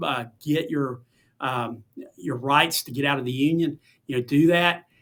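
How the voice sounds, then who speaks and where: A man talks at a moderate pace in a fairly high pitch. His tone is bright and sharp, with fairly even intonation. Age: 60s. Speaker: teacher association executive and education lobbyist. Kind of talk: podcast interview. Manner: conversational with many fillers.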